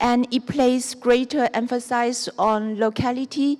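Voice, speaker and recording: The speaker has a Chinese accent and a very slow pace. The intonation stays fairly even. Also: woman. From southern China (Guangxi). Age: 40s. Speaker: architect. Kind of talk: lecture. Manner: halting.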